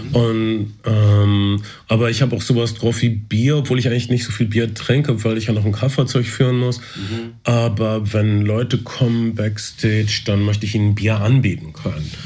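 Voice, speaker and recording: With audible room echo, a somewhat breathy man speaks at a moderate pace, fairly even intonation and hardly any pauses. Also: medium pitch for a man. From East Westphalia, Germany. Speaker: podcast host. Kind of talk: casual chat.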